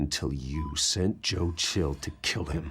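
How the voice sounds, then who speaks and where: Growling in a put-on character voice, a man speaks very deep and low at a fairly slow pace with fairly even intonation. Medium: video game. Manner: controlled, grim.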